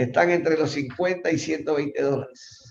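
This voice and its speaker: Somewhat breathy and fairly high, a man's voice moves at a moderate pace with fairly even intonation. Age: 60s. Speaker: professor. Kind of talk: lecture.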